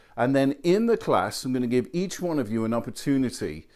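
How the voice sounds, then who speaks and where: Moderately paced speech from a man in a British accent, full of lively intonation. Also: very clean recording, silent background. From England. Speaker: college professor. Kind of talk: video message to students.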